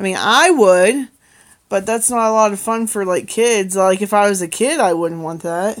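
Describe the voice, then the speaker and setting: With an unremarkable speaking voice, a woman talks at a moderate pace and medium pitch with ordinary pitch variation, in a very clean recording over a silent background. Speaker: livestreamer, mother. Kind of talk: casual livestream chat.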